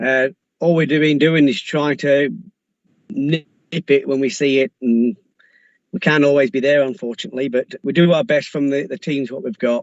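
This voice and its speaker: A man with a Lancashire accent speaks at a moderate pace. His pitch is fairly high, with ordinary variation. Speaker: police officer. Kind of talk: council meeting report.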